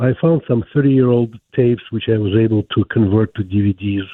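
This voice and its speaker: A man speaks with a Ukrainian accent at a fairly quick pace. His pitch is medium, with ordinary variation. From Ukraine. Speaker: caller. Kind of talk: call-in question on a radio show.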